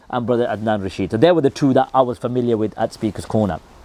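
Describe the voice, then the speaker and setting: A man talks at a very fast pace in a dark, mellow tone, with a dry, close sound and no echo. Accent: Birmingham. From England, Birmingham. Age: 30s. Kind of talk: personal story monologue. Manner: casual, many fillers.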